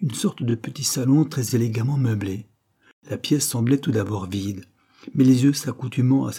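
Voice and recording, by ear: In quiet surroundings, someone reads aloud in a natural voice, the pitch varying in an ordinary way.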